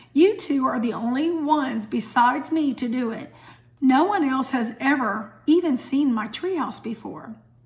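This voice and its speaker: A put-on character voice from a woman, high-pitched and raspy, with lively intonation at a moderate pace. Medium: read story. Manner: calm, gentle.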